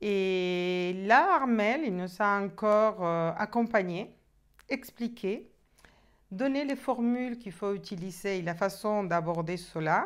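Against a quiet background, a woman speaks at a very slow pace with ordinary pitch variation. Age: 50s. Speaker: coaching client giving a testimonial. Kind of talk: testimony. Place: home room.

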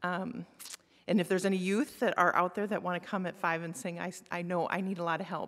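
Here a woman talks at a moderate pace. Her intonation stays fairly even. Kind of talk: church announcements. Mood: light, self-deprecating. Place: church. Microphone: podium.

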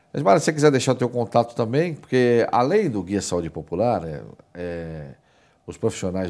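Lively intonation runs through this man's speech. His tone is dark and mellow. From Brazil. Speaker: TV show host. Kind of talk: TV talk show interview. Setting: studio. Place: studio. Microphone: lapel.

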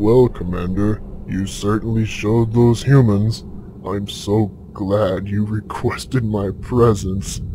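A man's put-on character voice, fairly low in pitch and fairly slow, with clear background noise. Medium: machinima. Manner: apologetic, sycophantic.

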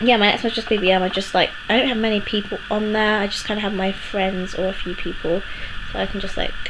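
Noticeable background noise is heard while a woman talks at a very fast pace. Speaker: vlogger. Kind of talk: casual vlog chat. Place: home room. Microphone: phone near.

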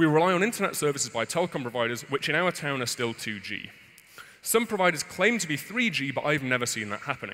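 The speech runs at a very fast pace with very wide pitch swings. The tone is bright and sharp over a quiet background. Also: man. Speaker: conference speaker. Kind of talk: conference talk. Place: stage. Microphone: headset.

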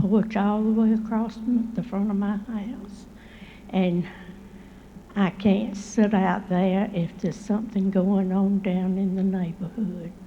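Spoken at a very slow pace with long, frequent pauses, this monotone, flat voice carries a Southern US accent and audible room echo. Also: woman. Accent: Southern US (Georgia). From Columbus, Georgia, US South. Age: 80s+. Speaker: resident. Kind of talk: public comment at council meeting. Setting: city council chamber podium.

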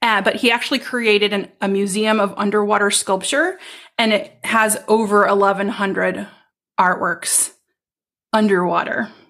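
Her pace is fairly slow. The woman speaks in a medium pitch. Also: very even loudness. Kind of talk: casual interview conversation. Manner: warm, enthusiastic.

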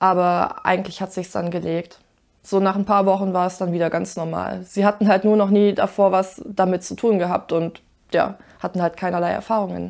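Against a quiet background, a woman at a medium pitch speaks at a moderate pace with monotone, flat intonation. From rural Germany. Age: 20s. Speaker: university student; interviewee. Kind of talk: interview testimony. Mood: relaxed, smiling, reflective. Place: home room.

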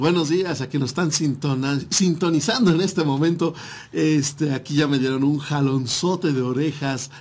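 A man's fairly high voice at a moderate pace with fairly even intonation. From Mexico. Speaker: internet radio host. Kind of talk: casual radio talk show. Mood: friendly, jokey. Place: studio. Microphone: studio mic.

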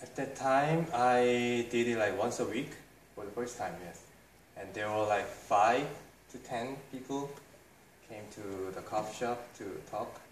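A man with a Korean accent speaks at a fairly slow pace, with long, frequent pauses and ordinary pitch variation. Audible room echo and light background noise are present. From South Korea. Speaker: English study group founder. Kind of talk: interview answer. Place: cafe.

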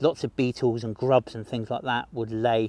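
Dry sound with no echo around a man's speech. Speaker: nature guide for kids. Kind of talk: educational walk-and-talk commentary. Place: forest. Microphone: phone near.

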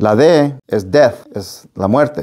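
Against a quiet background, a man speaks in a dark, mellow tone with ordinary pitch variation. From Las Vegas, Nevada (born in Nayarit, Mexico); Nevada. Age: 50s. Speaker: real estate business owner; interview guest. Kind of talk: interview. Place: studio. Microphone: lapel.

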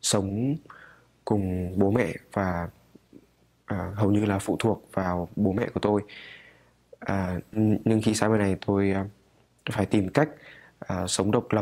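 With a dark, mellow tone and fairly low pitch, a man speaks in fairly even intonation, taking long, frequent pauses. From Hanoi, Vietnam. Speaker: international student. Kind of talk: student testimonial. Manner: halting. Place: church.

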